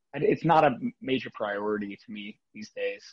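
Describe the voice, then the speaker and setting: A man talks with an American accent. His pitch is medium. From South Florida. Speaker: rock musician. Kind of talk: interview. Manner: halting, filler words.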